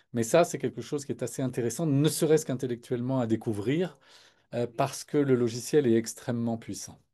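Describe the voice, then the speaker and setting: At a fairly quick pace over a quiet background, a man speaks in a dark, mellow tone at medium pitch with ordinary pitch variation. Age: 60s. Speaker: product presenter. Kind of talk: live product webinar. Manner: hesitant, many fillers.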